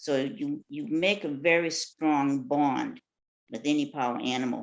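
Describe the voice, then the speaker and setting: A woman with very deep, low pitch and very wide pitch swings, at a fairly slow pace. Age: 70s. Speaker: shamanic practitioner, retired dental office worker. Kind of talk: casual interview chat. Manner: halting, with fillers.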